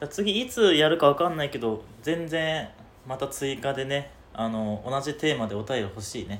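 At a moderate pace, a man with a plain, everyday voice speaks in a fairly high pitch with lively intonation. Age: 20s. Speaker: podcast co-host. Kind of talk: casual chat. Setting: rented studio space in Shibuya.

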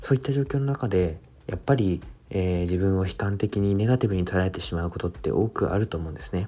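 At a very fast pace, a man with a fairly low pitch and a dark, mellow tone speaks with ordinary pitch variation. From Japan, Fukushima (Koriyama). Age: 20s. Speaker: entrepreneur and public speaker. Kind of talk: self-introduction monologue. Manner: halting, many fillers.

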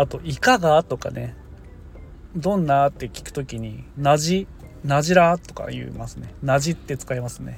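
At a moderate pace, the speaker talks in a Niigata accent with big swings in loudness. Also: man. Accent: Niigata dialect (Gosen). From Niigata, Japan. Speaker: farmer and podcaster. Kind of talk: casual solo podcast talk. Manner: casual, rambling.

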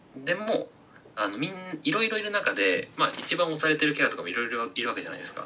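A man with a fairly high voice talks at a very fast pace with very wide pitch swings. Noticeable background noise is present. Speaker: makeup artist. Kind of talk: casual chat. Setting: video call.

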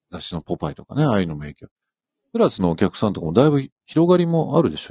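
A man with a fairly low pitch talks at a very fast pace, with very wide pitch swings and big swings in loudness. The sound is dry and close with no echo, and the background is quiet. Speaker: fashion company executive. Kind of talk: casual radio chat. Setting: in-house broadcast booth, live stream.

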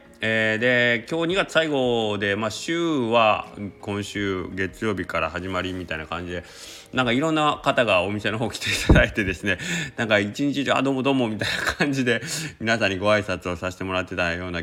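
The voice has a relaxed tone and lively intonation at a fairly quick pace. Noticeable background noise sits behind it. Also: man, fairly low pitch for a man. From Japan, Kagawa Prefecture. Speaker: udon shop owner, podcaster. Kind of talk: casual solo talk. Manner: relaxed, filler-heavy.

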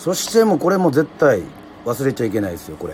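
Fairly high-pitched male voice with very wide pitch swings and noticeable background noise. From Yoron Island, Kagoshima, Japan. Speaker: radio host and musician. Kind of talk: casual livestream radio chat. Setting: livestream from his snack bar. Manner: formal filler-heavy host patter.

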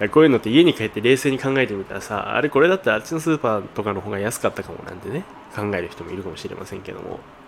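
A man speaks at a very fast pace and a medium pitch, with very wide pitch swings and big swings in loudness. Noticeable background noise is present. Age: 20s. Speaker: eyewear shop manager and podcast host. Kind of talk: solo casual chat. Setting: shop before opening.

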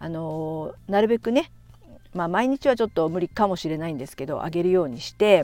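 A woman's fairly low, dark, mellow voice with a relaxed tone, a fairly quick pace, lively intonation and big swings in loudness. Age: 50s. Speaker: podcaster and blogger. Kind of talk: casual monologue. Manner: relaxed, many fillers.

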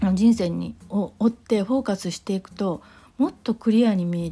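A woman speaks in a dark, mellow, somewhat breathy tone on a very clean recording with a silent background. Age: 40s. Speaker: podcaster. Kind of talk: solo monologue. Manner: halting, many fillers.

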